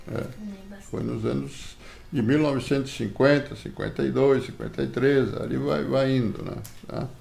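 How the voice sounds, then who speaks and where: Through noticeable background noise and audible room echo, a man speaks at a moderate pace with very wide pitch swings. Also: fairly low pitch for a man. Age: 70s. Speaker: grandfather interviewed for school project. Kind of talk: interview. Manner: hesitant, frequent filler words.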